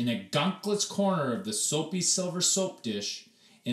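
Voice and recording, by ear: The speaker reads aloud in a natural voice, with lively intonation.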